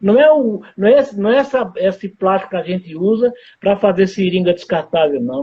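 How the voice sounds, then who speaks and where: With lively intonation, a high-pitched man speaks at a moderate pace. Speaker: surgeon and gastroenterologist. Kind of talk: live interview. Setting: Instagram live broadcast.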